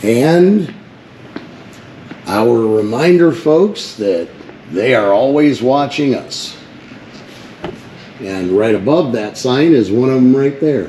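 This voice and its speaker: Very slowly and with long, frequent pauses, a man at a medium pitch speaks with lively intonation amid noticeable background noise and audible room echo. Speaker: first amendment auditor. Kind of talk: casual vlog narration. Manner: loud.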